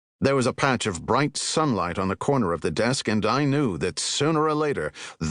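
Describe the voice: What we hear is plain reading aloud.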